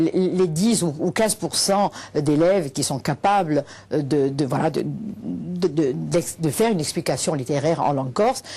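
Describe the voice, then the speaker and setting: Fairly slow speech with a dark, mellow tone, vocal fry and lively intonation comes over a quiet background. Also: woman, very deep, low pitch for a woman. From Corsica, Bastia. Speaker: teacher and activist. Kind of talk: TV interview. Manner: halting, many hesitations.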